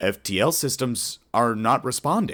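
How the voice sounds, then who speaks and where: A man's put-on character voice at a medium pitch and moderate pace, in a very clean recording with a silent background. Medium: read story.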